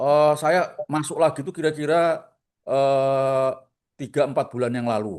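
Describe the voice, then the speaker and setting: In a strong Surabaya accent, a man speaks with fairly even intonation. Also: fairly high pitch for a man, fairly slow pace. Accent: strong Surabaya Javanese. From Surabaya, East Java. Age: 60s. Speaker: retail stock investor. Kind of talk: casual chat.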